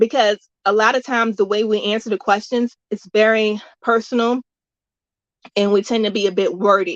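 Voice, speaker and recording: A woman speaks in an ordinary speaking voice, fairly high-pitched and at a fairly slow pace, with a dry, close sound and no echo. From US South. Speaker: music workshop host. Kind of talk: workshop tutorial.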